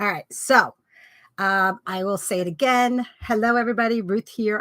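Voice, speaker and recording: With a bright, sharp tone, a woman talks at a fairly quick pace and with ordinary pitch variation in a dry, close sound with no echo, on a very clean recording with a silent background. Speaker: live-stream host. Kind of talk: casual live chat. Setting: at home, live stream.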